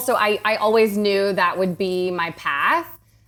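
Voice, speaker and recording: Over noticeable background noise, a woman talks at a fairly slow pace in an American accent. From US South, Atlanta, Georgia. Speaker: realtor, podcast guest. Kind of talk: casual chat. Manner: loud.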